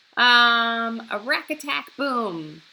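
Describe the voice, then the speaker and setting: Clear music plays in the background as a woman talks at a very slow pace. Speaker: primary music teacher. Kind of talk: online lesson for children. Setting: recording at home. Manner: animated. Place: home room. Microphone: webcam.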